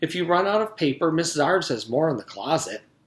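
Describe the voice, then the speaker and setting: A man puts on a sing-song character voice at a fairly high pitch. He talks very fast at a very even loudness. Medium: read story. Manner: cheerful, sing-song.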